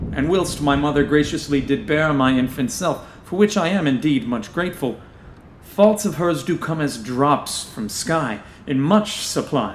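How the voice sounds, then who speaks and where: A man speaks in a normal speaking voice with a fairly high pitch. His pace is fairly slow and his intonation lively. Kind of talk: scripted audio drama reading in Shakespearean-style verse, performing a character. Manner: archaic, theatrical, playful and mischievous, then suave when flirting.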